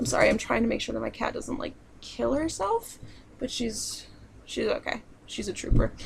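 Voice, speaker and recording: Long, frequent pauses from a woman against noticeable background noise. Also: moderate pace. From southern New York, family in central Pennsylvania. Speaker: video blogger. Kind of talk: casual Q&A vlog. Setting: home, own room. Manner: casual, with many fillers.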